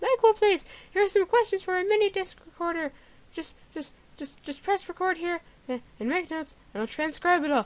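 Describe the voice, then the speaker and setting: Putting on a squeaky character voice, a woman speaks at an extremely high pitch and a fairly quick pace with lively intonation. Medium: read story.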